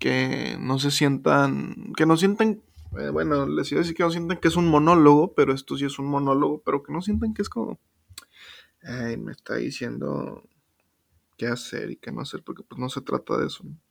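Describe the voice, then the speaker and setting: A man talks at a moderate pace with big swings in loudness. The recording is very clean, with a silent background. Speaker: podcast host. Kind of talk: casual monologue. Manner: casual, slangy.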